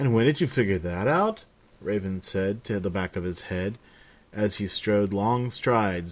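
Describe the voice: Ordinary pitch variation in plain reading aloud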